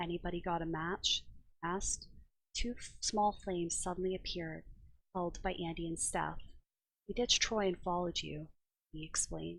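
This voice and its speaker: At a moderate pace, a woman is speaking. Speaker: ASMR reader. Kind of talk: ASMR book reading, storybook narration. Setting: headset microphone, too far from mouth. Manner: whispered, soft.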